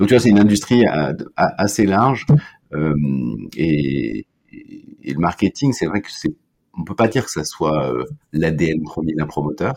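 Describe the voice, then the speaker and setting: A man with a very deep, low pitch talks at a fairly slow pace, with long, frequent pauses, big swings in loudness and lively intonation. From Brittany, France. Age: 50s. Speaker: marketing director. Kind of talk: interview conversation. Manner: hesitant, frequent repetitions.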